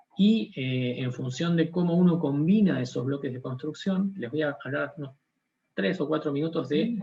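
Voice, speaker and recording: A man with a strong Argentine accent speaks at a fairly slow pace. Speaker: scientist. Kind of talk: lecture. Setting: conference talk.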